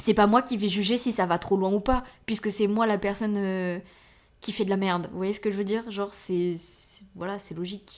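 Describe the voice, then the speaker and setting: A woman's medium-pitched voice at a moderate pace. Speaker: podcast host. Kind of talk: casual monologue. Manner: filler-heavy; animated.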